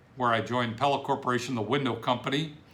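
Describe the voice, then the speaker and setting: A man speaks at a medium pitch in a bright, sharp tone. Room echo is audible. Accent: American. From Ohio, Cleveland area. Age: 60s. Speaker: business coach. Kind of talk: self-introduction video. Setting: home office.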